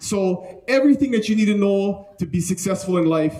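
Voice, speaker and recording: A man talks at a fairly quick pace in an energetic tone with lively intonation. There is noticeable background noise. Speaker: real estate team leader, speaker. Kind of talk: keynote talk to a live audience. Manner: fast.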